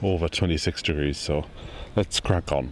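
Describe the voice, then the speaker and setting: A man's speech at a moderate pace with ordinary pitch variation, set against noticeable background noise. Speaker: allotment gardener and video presenter. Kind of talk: casual gardening tutorial. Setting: outdoors on allotment. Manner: quiet.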